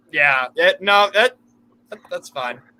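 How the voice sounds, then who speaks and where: This man's voice sits high for a man, with a bright, sharp tone and an American accent. He talks at a fairly slow pace, and the sound is dry and close with no echo. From United States. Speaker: football fan co-host. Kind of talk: casual live-stream chat.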